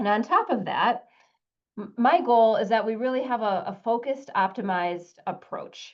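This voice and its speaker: The speaker uses a Wisconsin accent, with ordinary pitch variation at a moderate pace. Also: woman, fairly high pitch for a woman. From US Midwest, Wisconsin. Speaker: soil scientist, extension specialist. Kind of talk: webinar lecture. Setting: online webinar. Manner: casual with frequent fillers.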